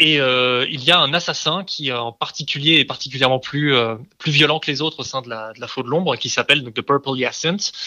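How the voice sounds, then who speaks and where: With a bright, sharp tone and fairly high pitch, a man talks at a fairly quick pace with ordinary pitch variation and hardly any pauses. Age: 30s. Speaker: comics translator. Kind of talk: casual interview. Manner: halting, many repeated words.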